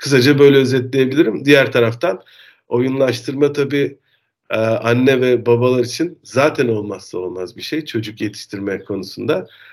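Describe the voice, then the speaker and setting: This is an ordinary speaking voice from a man at medium pitch. He keeps a moderate pace with ordinary pitch variation. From Turkey, Denizli. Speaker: marketing professional. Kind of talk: casual interview.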